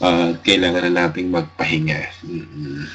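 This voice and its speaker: Over noticeable background noise, a man talks at a fairly slow pace in a very deep, low pitch with monotone, flat intonation. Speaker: radio host. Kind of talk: radio show sign-off chat. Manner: halting.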